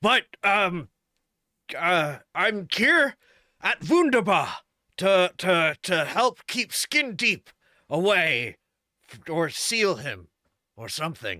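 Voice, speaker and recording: Putting on a character voice with a high pitch, a man speaks at a very slow pace with long, frequent pauses. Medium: actual play. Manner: halting, earnest.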